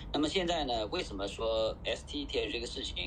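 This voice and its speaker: A man talks fairly quickly in a space with audible room echo. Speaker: DeFi project founder. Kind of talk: panel discussion. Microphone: quiet audio.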